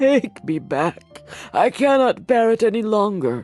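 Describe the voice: A put-on character voice, fairly high in pitch, at a moderate pace over faint background music.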